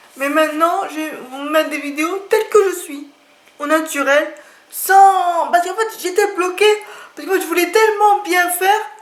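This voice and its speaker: A woman speaks at an extremely high pitch. Room echo is audible. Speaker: YouTuber presenting books and art supplies. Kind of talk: casual vlog talk to camera. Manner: slow; halting, with filler hesitations.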